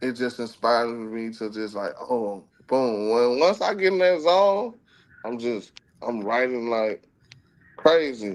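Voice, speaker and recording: A man with an American accent speaks fairly slowly, at medium pitch and with lively intonation. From US South, Alabama (roots in Germany). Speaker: R&B and rap artist, veteran. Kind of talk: interview. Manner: casual conversational.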